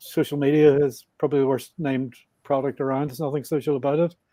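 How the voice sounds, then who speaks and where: The voice carries a strong Northern Irish accent and a monotone, flat intonation. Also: man. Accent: Northern Irish, thick. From Northern Ireland, Belfast. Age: 60s. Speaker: motorbike traveler. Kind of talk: podcast interview.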